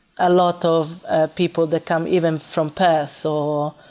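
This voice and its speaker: Very slowly and in a monotone, flat intonation, a woman speaks with a very deep, low pitch and a dark, mellow tone. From Italy, Florence. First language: Italian. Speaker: restaurant manager. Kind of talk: interview. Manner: halting, many fillers.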